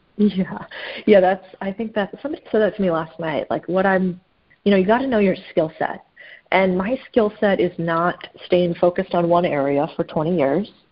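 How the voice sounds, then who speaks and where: In a normal speaking voice, a woman with an American accent talks at a moderate pace, using a medium pitch and ordinary pitch variation. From US Southwest, Phoenix, Arizona. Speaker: private equity investor. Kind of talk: casual interview.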